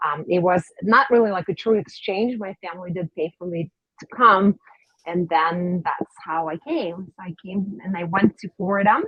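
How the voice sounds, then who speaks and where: Speaking at a moderate pace with a slight Russian accent, a woman keeps a medium pitch with ordinary variation but big swings in loudness. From Russia, Saint Petersburg. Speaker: dentist. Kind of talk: interview.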